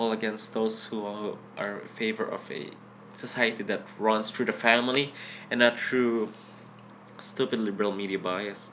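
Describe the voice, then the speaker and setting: A man speaking at a moderate speed leaves long, frequent pauses while noticeable background noise goes on. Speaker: blogger and political commentator. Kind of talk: political rant. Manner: animated.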